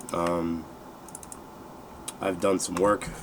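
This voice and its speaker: A relaxed-toned man at a very deep, low pitch and fairly slow pace, over noticeable background noise. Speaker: gaming video creator. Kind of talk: gameplay walkthrough commentary. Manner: hesitant, many fillers.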